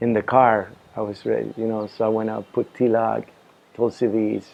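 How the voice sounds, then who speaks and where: A man's fairly low voice at a moderate pace, with monotone, flat intonation. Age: 60s. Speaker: devotee telling his conversion story. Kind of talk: testimony. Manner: halting, with many fillers and restarts.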